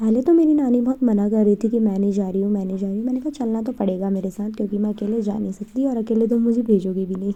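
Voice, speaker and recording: Her voice is fairly high in pitch with a dark, mellow tone and ordinary pitch variation, and this woman hardly pauses at all. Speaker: vlogger. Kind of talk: casual vlog narration.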